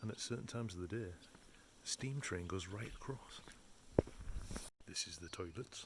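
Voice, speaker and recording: Whispering in an English accent, a man keeps a moderate pace. He leaves long, frequent pauses. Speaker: caravan travel vlogger. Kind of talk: casual vlog narration. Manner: chatty.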